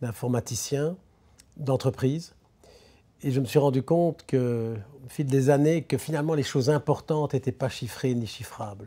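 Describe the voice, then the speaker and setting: The voice is somewhat breathy, with a dark, mellow tone and ordinary pitch variation. Long, frequent pauses break up the speech. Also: man, medium pitch for a man, moderate pace. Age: 70s. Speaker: business philosopher. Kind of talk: interview. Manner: halting.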